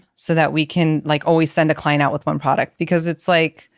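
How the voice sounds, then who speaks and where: On a very clean recording with a silent background and a dry, close sound with no echo, a woman with an American accent speaks in a very deep, low pitch with monotone, flat intonation. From East Los Angeles. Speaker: celebrity hairstylist and salon owner. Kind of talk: podcast interview, casual chat.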